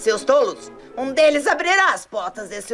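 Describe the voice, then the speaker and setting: A fairly high-pitched voice is heard over faint music in the background. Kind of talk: melodramatic villain dubbing. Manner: gloating, menacing, commanding.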